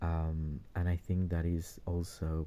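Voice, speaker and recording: The voice is soft-spoken. Its tone is dark and mellow. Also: man, very clean recording, silent background. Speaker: toy collector YouTuber. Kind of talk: product review. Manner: halting.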